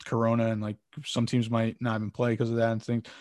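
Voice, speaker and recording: Very fast speech comes from a man with an American accent at medium pitch. The sound is dry and close with no echo, over a quiet background. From Connecticut, US. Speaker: sports marketing founder and podcast host. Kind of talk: interview. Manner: casual, many filler words.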